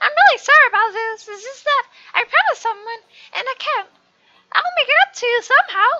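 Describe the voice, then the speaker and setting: Putting on a squeaky character voice, a woman talks at a fairly quick pace in an extremely high pitch with ordinary pitch variation, the sound dry and close with no echo. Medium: game stream.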